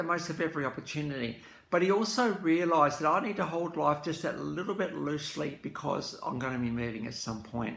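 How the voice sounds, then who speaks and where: A man talks at a fairly quick pace with hardly any pauses. His fairly high voice has lively intonation. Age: 60s. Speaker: music commentator. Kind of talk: casual reflective talk to camera. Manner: hesitant, many fillers.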